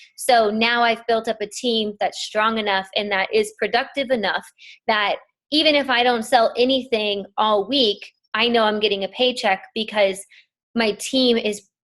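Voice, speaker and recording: A woman with a plain, everyday voice speaks at a fairly slow pace, with fairly high pitch, fairly even intonation and very even loudness. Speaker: network marketing team leader. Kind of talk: training call. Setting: conference call.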